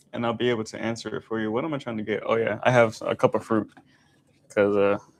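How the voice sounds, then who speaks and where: A man's medium-pitched voice, monotone and flat, at a very fast pace. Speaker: YouTuber talking money and Tesla. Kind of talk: casual livestream cooking chat. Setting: home kitchen livestream.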